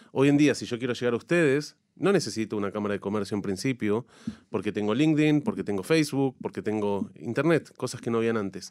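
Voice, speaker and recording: The speech comes very fast, with lively intonation. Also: man, medium pitch for a man. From Argentina, La Plata. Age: 40s. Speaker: chamber of commerce president. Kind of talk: radio interview.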